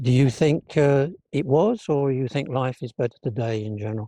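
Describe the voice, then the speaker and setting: A man talks at a moderate pace in a medium pitch, with ordinary pitch variation. He has an ordinary speaking voice. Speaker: interviewer. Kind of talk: interview question.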